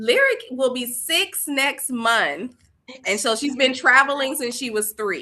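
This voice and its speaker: Raising and projecting her high voice, a woman with an American accent speaks fairly slowly with ordinary pitch variation. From US South, Columbus, Georgia. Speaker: education founder. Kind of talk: casual interview.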